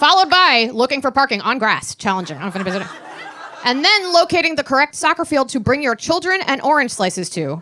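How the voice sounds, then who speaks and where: Her voice is high, raised and projected, with very wide pitch swings at a very fast pace. Background noise is noticeable behind this woman. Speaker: stand-up comedian. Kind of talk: stand-up. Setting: stage with audience.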